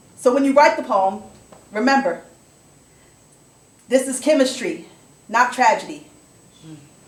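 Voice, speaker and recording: A woman speaks at a moderate pace in a high voice with lively intonation and an intense tone, her loudness swinging widely and long, frequent pauses breaking her speech over noticeable background noise. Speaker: slam poet. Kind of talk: spoken word poetry performance. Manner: intense, defiant.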